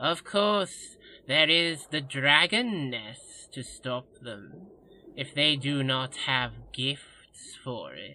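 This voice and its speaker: A man speaks very slowly in a put-on character voice. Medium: audio drama. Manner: fawning, addresses master as Lordness, piles on -ness endings.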